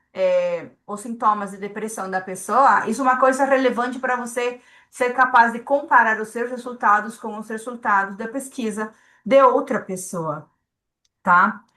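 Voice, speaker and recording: Speaking slowly-ish at a fairly slow pace, a woman with a non-native accent has a fairly high pitch, ordinary pitch variation and a bright, sharp tone. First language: not Portuguese (speaking Portuguese). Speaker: statistical consultant. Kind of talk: lecture. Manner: hesitant, repeats words.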